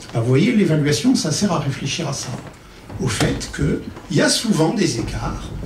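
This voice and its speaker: Amid audible room echo and light background noise, a man talks at a moderate pace and a fairly high pitch with very wide pitch swings. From Paris, France. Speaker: psychosociologist and consultant; conference speaker. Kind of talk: conference talk. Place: stage.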